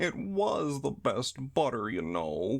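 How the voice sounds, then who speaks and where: Putting on a character voice, a man speaks at a fairly slow pace and a medium pitch with very wide pitch swings. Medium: read story.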